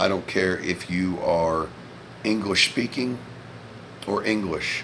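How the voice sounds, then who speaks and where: Speaking very slowly with an American accent, a man talks in a very deep, low pitch. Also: ordinary pitch variation. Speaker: vlogger, former Marine. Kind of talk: casual monologue vlog. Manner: loud.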